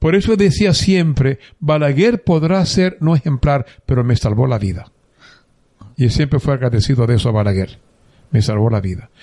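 Pitch swings very widely at a moderate pace. The tone is dark and mellow, somewhat breathy. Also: man, medium pitch for a man. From Dominican Republic, San Juan de la Maguana. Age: 70s. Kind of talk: interview, life story.

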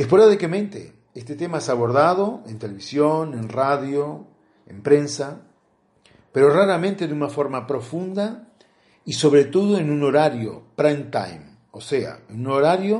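A man talks in a plain, everyday voice at a fairly high pitch. His pace is fairly slow, with lively intonation and big swings in loudness. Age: 50s. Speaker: interviewee. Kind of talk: testimony.

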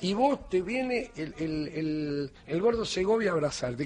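The speaker's pitch swings very widely. Background noise is noticeable. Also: man. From Argentina, Morón (Buenos Aires). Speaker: radio host. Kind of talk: late-night comedy radio chat.

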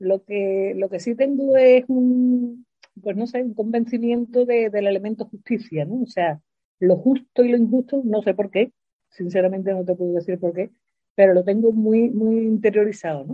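A woman's somewhat breathy voice, fairly high in pitch, at a fairly slow pace. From Spain, Seville. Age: 60s. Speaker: retired teacher. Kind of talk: interview.

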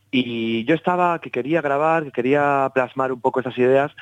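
A man talks at medium pitch in a plain, everyday voice with ordinary pitch variation. The sound is dry and close with no echo, in a quiet background. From Basque Country, Spain. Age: 30s. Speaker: jazz double bassist. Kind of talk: interview.

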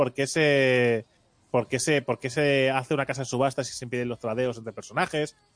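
Recorded with a dry, close sound and no echo, a man at medium pitch speaks at a very fast pace. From Barcelona, Spain. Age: 30s. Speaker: podcast host. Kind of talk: casual chat.

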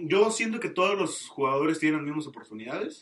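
In a normal speaking voice, a man with a fairly high pitch talks at a fairly quick pace. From Mexico, Tamaulipas. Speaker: podcast guest. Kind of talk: casual chat.

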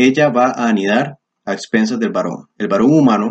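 The sound is dry and close with no echo. Pitch varies in an ordinary way at a moderate pace. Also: man. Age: 20s. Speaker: YouTuber discussing men's philosophy. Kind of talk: monologue commentary video. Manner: animated.

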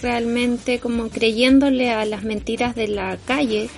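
A woman talks at a fairly slow pace with a fairly high pitch. Noticeable background noise sits behind her. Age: 40s. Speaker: podcast co-host, photographer. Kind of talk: casual chat.

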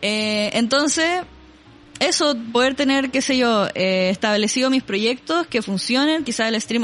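Music plays in the background as a woman talks in a Chilean accent. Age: 20s. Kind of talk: casual chat.

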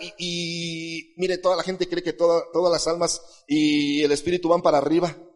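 The speaker is a man. He talks at a moderate pace. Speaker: pastor. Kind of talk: sermon.

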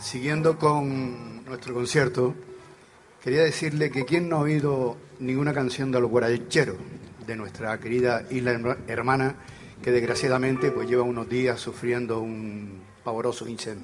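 Music plays in the background and the room echo is audible as a man of medium pitch talks at a fairly slow pace with ordinary pitch variation. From Canary Islands. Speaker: folk group member and song presenter. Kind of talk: live concert stage announcements. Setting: outdoor stage in a town square with audience.

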